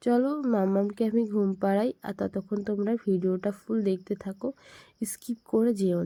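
A dark, mellow voice speaks in a flat monotone, recorded dry and close with no echo. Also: woman. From India, Bengal. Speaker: vlogger, housewife and new mother. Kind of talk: casual vlog narration.

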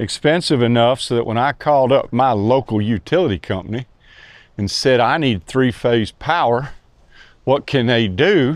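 The sound is dry, with no echo and a quiet background, as a man speaks at a fairly slow pace. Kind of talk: tutorial. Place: workshop. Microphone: lapel.

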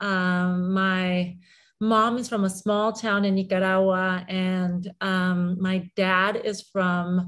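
A woman speaks at a very slow pace with monotone, flat intonation. The background is quiet. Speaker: interview guest. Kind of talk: interview answer. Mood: warm, reflective personal story. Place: home room. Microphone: video call.

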